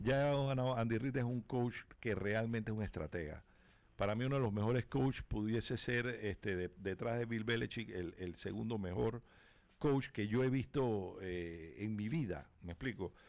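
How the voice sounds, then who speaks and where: Moderate pace and ordinary pitch variation from a man with a medium-pitched voice, recorded very cleanly against a silent background. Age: 50s. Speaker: sports radio co-host. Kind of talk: sports radio talk show. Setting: radio studio. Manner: halting, with many repeated words.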